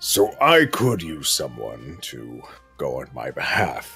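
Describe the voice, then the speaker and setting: A man performs a put-on character voice over faint background music. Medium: actual play. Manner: plain-spoken, measured.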